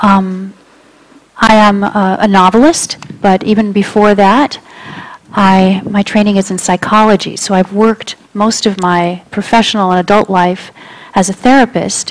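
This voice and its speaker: A woman speaks at a fairly slow pace in a medium pitch, her loudness very even, with noticeable background noise. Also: fairly even intonation. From Cuba, raised in US. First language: Spanish. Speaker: novelist and therapist. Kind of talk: author interview before audience.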